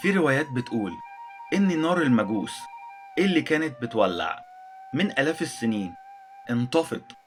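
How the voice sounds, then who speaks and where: Music plays behind a man who talks fairly slowly, leaving long, frequent pauses. His loudness stays very even while his pitch swings very widely. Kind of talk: educational history narration. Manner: simple, heartfelt.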